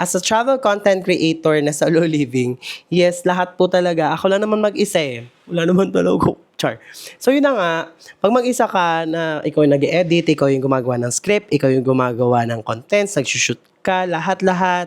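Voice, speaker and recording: The pace is fairly quick. Intonation is lively. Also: man, high pitch for a man. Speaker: travel vlogger. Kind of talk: vlog. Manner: casual, chatty.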